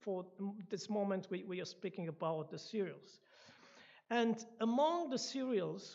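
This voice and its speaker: A woman speaks at a fairly slow pace with lively intonation. Her medium-pitched voice has a dark, mellow tone. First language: not English, not even second language. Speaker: guest speaker at church. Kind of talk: lecture. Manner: halting, with restarts.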